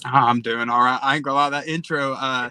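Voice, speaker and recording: In an East Tennessee accent, a man talks with a bright, sharp tone. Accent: Southern (East Tennessee). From Eastern Tennessee, Tri-Cities. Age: 20s. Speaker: social media creator. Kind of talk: casual interview.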